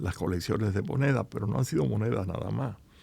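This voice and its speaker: A man's voice with vocal fry and lively intonation. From Cuba. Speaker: business founder. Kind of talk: interview. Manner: halting.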